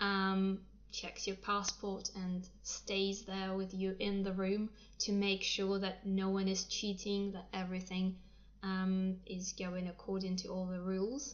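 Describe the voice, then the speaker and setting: A woman is speaking. Her pace is very slow. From Russia. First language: Russian. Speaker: English teacher. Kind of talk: livestream talk. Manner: hesitant, many fillers.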